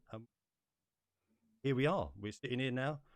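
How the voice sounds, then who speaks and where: This is a man speaking. He has an English accent. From England. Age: 30s. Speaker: podcast host. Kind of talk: casual chat.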